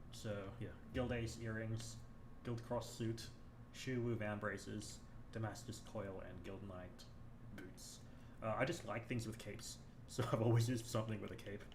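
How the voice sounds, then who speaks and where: A quiet man with a medium pitch and monotone, flat intonation speaks at a moderate pace with long, frequent pauses and audible room echo. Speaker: gaming streamer. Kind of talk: live gameplay commentary. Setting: live stream. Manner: quiet, low volume.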